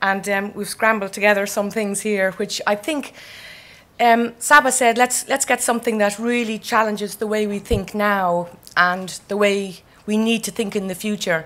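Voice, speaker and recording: A woman speaks with an Irish accent. Her intonation stays fairly even. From Ireland. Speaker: architect. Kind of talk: keynote speech.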